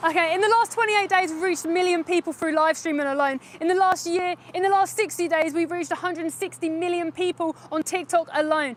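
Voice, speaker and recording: Loud and at a very fast pace, a woman speaks with extremely high pitch and fairly even intonation over noticeable background noise. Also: hardly any pauses. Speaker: animal rights activist livestreamer. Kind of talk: live stream street activism. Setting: outdoors outside a slaughterhouse.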